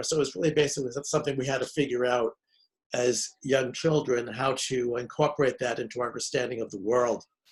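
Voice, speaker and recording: Fairly even intonation marks this voice. It sounds somewhat breathy. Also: man. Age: 70s. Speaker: grief counselor and author. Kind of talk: interview. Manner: halting, many fillers and restarts.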